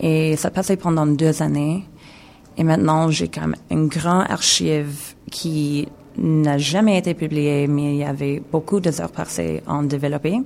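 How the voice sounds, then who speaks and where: Very slow speech in an English accent. Pitch varies in an ordinary way. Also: woman, very deep, low pitch for a woman. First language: English (speaking French). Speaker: video installation artist. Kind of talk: radio interview. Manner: halting, mixing French and English.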